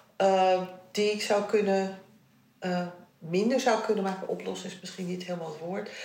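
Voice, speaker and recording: The speech moves at a fairly slow pace with fairly even intonation, and audible room echo surrounds it. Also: woman. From Netherlands. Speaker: interviewee sharing family history. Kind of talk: personal interview. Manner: halting.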